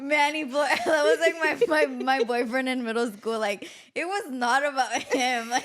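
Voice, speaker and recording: A woman with a Spanish accent speaks in a high pitch, her tone animated and her intonation lively. Noticeable background noise runs beneath her voice. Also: moderate pace. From Mexico, raised in the US from age three. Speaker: podcast host. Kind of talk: casual chat.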